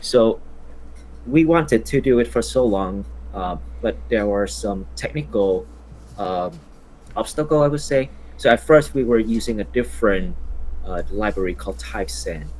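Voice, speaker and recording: A man with a Vietnamese accent, very deep and low in pitch, with very wide pitch swings, a moderate pace, long and frequent pauses, and music in the background. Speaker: software founder. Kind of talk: casual interview.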